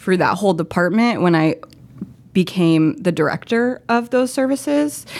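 With a plain, everyday voice, a woman with an American accent speaks at a fairly slow pace and medium pitch, her intonation lively, on a very clean recording with a silent background. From Florida. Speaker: nonprofit program staff. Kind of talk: casual chat.

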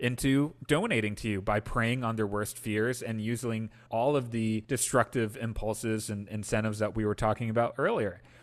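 A man with an American accent has an ordinary speaking voice at medium pitch. He talks at a moderate pace with ordinary pitch variation against a quiet background. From Wisconsin, US Midwest. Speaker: political organizer and Senate hopeful. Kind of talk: podcast interview.

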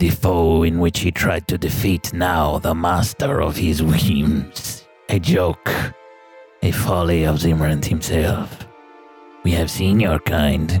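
Pitched very deep and low, a man performs a put-on character voice at a fairly slow pace while music plays clearly behind him. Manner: menacing, mocking, sneering.

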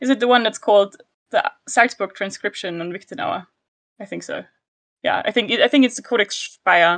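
A woman's medium-pitched voice with a German accent and ordinary pitch variation, in a dry, close sound with no echo. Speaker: historical linguistics researcher. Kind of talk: casual chat.

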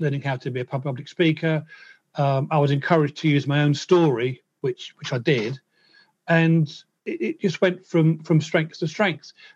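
Here a man talks at a moderate pace with a fairly high pitch. His voice is somewhat breathy, and his intonation fairly even. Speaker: musician and percussionist. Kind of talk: interview, telling his life story. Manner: repeats words, occasional stammer-like hesitations.

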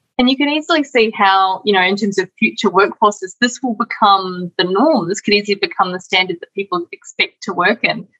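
Hardly pausing at all, a woman talks at a fairly quick pace and medium pitch, with lively intonation in a normal speaking voice. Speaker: webinar moderator. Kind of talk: moderating Q&A. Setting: online webinar.

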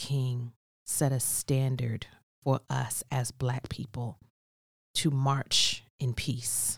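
A woman with a very deep, low voice and a somewhat breathy quality, recorded dry and close with no echo, in a very clean recording with a silent background. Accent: American. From New Jersey. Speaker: cosmetology educator. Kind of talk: casual chat.

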